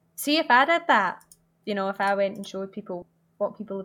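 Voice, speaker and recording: A woman at a medium pitch talks at a fairly quick pace. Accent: Glaswegian. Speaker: video game speedrunner and streamer. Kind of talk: casual chat. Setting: online call.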